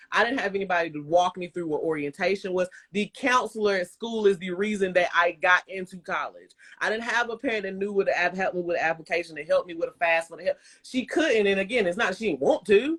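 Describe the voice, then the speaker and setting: Very fast and animated, a woman with a slight Southern US accent speaks at a medium pitch with ordinary pitch variation in a dry, close sound with no echo. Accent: slight Southern twang. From US South, Bremen, Georgia. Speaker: live stream host. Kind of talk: casual chat. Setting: Instagram live stream.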